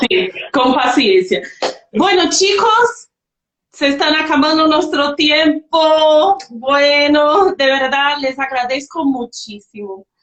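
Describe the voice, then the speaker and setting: With a non-native accent, a woman speaks very slowly in a high pitch, her loudness very even while her pitch swings very widely. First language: not Spanish (speaking Spanish). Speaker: livestream host. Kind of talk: online panel discussion.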